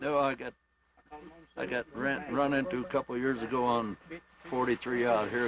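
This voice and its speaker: A man with an American accent and ordinary pitch variation over noticeable background noise. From Indiana. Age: 60s. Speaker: hunter. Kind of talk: casual interview.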